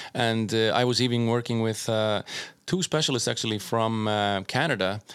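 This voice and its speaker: A man with an Icelandic accent speaks with ordinary pitch variation on a very clean recording with a silent background. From Iceland and Norway. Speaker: doctor and DJ. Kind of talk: casual chat.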